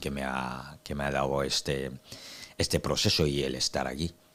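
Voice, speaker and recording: Very deep, low male voice with vocal fry at a fairly slow pace. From Cameroon, Douala. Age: 30s. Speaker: activist, interview guest. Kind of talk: interview. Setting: studio. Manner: hesitant with many fillers.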